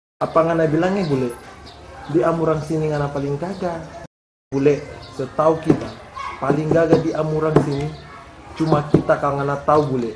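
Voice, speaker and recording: Speaking at a fairly quick pace yet with long, frequent pauses, a man keeps a fairly high pitch and fairly even intonation. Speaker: comedy skit actor. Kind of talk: comedy skit dialogue.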